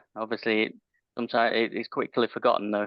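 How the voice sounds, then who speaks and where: With a British accent, a man is talking. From UK. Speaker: IT managed service provider. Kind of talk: casual chat.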